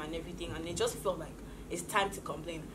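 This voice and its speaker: A woman is heard over noticeable background noise. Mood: opinionated, animated. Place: studio.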